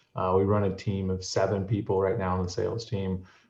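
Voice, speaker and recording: A somewhat breathy man with an American accent talks fairly quickly at a fairly low pitch in a monotone, flat intonation. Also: quiet background. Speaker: software sales head. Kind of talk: webinar introduction.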